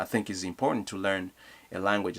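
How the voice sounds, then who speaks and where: Fairly low in pitch, a man with a Congolese accent speaks in a bright, sharp tone. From Democratic Republic of the Congo. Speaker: youth leadership advocate. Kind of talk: motivational talk to camera.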